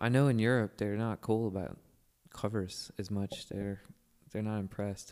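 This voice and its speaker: With an American accent, a man speaks in an ordinary speaking voice, fairly low in pitch, at a moderate pace with fairly even intonation. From Virginia (Manassas). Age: 40s. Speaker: singer and musician. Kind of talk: casual chat. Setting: studio.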